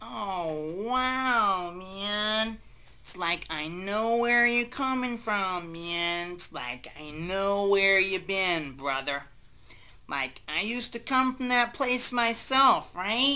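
A female-sounding voice speaks at a very slow pace. Its middle pitch moves with lively intonation. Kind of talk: comic overacting. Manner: rambling, spacey, filler-laden.

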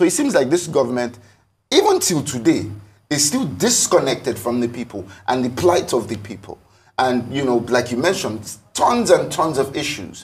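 The somewhat breathy voice runs at a fairly quick pace with lively intonation. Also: man. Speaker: talk show guest. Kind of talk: interview answer. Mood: frustrated, critical of government. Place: studio.

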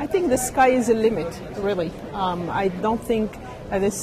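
A woman speaks over noticeable background noise. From Morocco. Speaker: biotech R&D executive. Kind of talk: interview. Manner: hesitant with fillers. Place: hall. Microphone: handheld.

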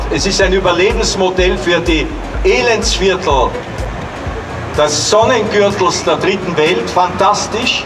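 Noticeable background noise accompanies a very slow pace broken by long, frequent pauses. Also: man. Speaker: museum director and ecologist. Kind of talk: public speech. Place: street. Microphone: handheld.

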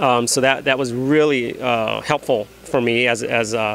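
With an American accent, a man talks at very even loudness in a dry sound with no echo, over light background noise. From US Midwest, Chicago. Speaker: comic book artist. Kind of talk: interview. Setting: comic convention. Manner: halting, many fillers. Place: shop. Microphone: handheld.

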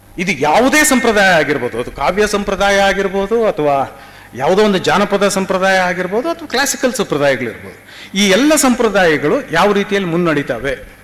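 Over noticeable background noise, a man speaks with a high pitch and very wide pitch swings. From Karnataka. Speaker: theatre director and literary scholar. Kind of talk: seminar talk. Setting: university seminar. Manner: halting.

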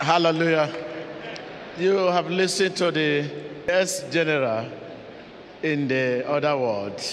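A man speaks at a fairly slow pace. There is light background noise. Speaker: church interviewer. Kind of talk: church testimony interview. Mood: smiling, upbeat. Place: church. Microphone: handheld.

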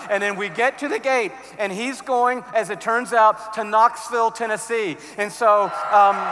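A raised, projected voice comes through at a fairly slow pace. Light background noise can be heard. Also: man. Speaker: conference speaker. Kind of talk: sermon. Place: stage. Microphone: headset.

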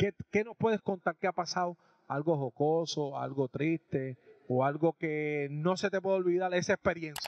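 A man speaks with a high pitch and ordinary pitch variation. The sound is dry, with no echo. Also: moderate pace. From Puerto Rico. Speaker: sports and music show host. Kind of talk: casual on-location interview. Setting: restaurant. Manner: animated. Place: cafe. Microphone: handheld.

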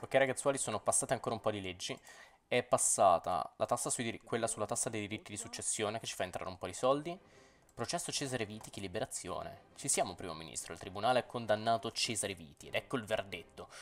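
The delivery is very fast, with lively intonation and big swings in loudness. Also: man, medium pitch for a man. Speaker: gaming YouTuber. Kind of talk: gameplay commentary. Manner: animated.

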